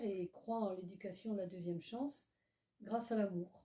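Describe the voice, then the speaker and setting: Her voice is somewhat breathy. This woman's tone is dark and mellow. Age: 80s+. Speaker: association president, retired teacher. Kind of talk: interview.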